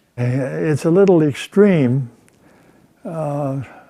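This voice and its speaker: Here a man speaks with a dark, mellow tone. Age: 90s. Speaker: retired heart surgeon. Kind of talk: interview. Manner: halting; calm.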